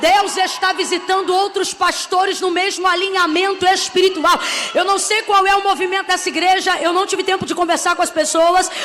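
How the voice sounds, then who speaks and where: A woman speaks at an extremely high pitch in a monotone, flat way, with very even loudness and hardly any pauses. Noticeable background noise runs behind her. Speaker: preacher. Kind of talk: sermon. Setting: church pulpit. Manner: slow; emphatic, repetitive.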